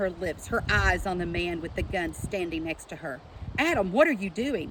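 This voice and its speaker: Over noticeable background noise, a woman talks with an Appalachian accent. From southeastern Kentucky. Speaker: author and teacher. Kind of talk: book reading aloud.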